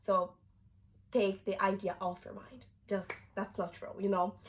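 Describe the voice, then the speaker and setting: With a Brazilian Portuguese accent, a woman speaks at a moderate pace in a bright, sharp tone. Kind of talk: casual talk to camera.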